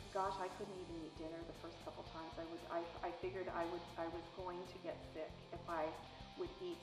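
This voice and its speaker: Over clear music in the background, a woman talks at a fairly quick pace with a fairly low pitch. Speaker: sales business owner. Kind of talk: interview answer. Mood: warm, reflective, sometimes laughing. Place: home room. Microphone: lapel.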